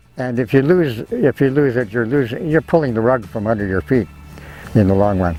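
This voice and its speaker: Against noticeable background noise, someone speaks at a fairly quick pace with lively intonation. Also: man, medium pitch for a man. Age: 80s+. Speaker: naturalist. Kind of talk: interview answer. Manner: reflective, conversational.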